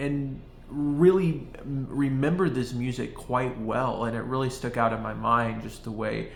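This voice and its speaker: With an audible echo from the room, the words come at a moderate rate. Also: man. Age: 20s. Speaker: video essayist on jazz. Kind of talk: casual monologue. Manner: halting, many fillers.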